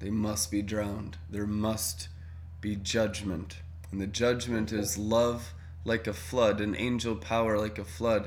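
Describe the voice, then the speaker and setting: A man's normal speaking voice, fairly low in pitch, with fairly even intonation at a fairly slow pace. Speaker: prayer meeting leader. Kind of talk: group prayer meeting chat. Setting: video call.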